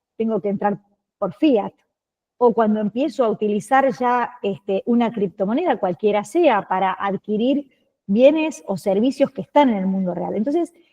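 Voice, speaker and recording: A woman with an Argentine accent speaks at a fairly high pitch with lively intonation and a moderate pace. The sound is dry and close with no echo. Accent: Argentine Spanish (Rioplatense). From Argentina. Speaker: lawyer, course instructor. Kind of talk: lecture.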